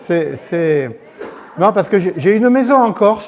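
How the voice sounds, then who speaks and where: A man talks fairly slowly, his intonation lively. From Corsica. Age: 60s. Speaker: churchgoer giving testimony. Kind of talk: testimony. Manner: halting.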